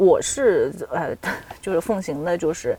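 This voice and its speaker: A woman speaks in a medium pitch. Noticeable background noise runs underneath. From China, Nanjing. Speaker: PhD student and freelance writer. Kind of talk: casual chat.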